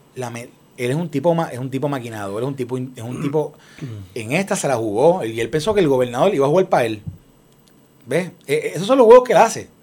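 A fairly quick, fairly high-pitched man with big swings in loudness. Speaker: former political aide. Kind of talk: casual chat. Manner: halting.

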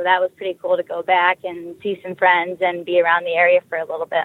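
She is a woman with an American accent. Her pitch sits in the medium range. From US West Coast, San Diego. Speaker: hockey player and coach. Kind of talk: interview.

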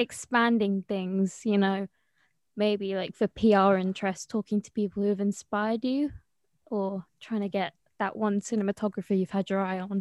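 Moderately paced, flat, monotone speech from a woman, on a very clean recording with a silent background. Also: medium pitch for a woman, dry, close sound with no echo. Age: young. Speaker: student podcast host. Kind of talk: casual interview.

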